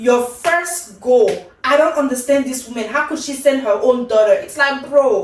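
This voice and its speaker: A woman with a high pitch talks at a moderate pace in an animated tone, her pitch varying in an ordinary way. Audible room echo surrounds her voice. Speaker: K-drama reviewer, YouTuber. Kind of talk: casual review monologue.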